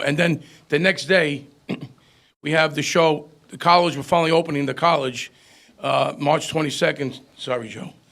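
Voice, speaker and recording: With vocal fry and fairly even intonation, a man speaks at a fairly high pitch. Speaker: concert promoter. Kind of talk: casual chat. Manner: fast.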